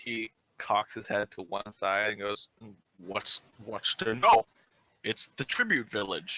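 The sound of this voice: The recording has an unforced reading voice with fairly even intonation over a quiet background.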